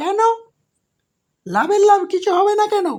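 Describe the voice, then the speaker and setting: This cartoonish character voice is squeaky and pitched extremely high. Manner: blustering, naive.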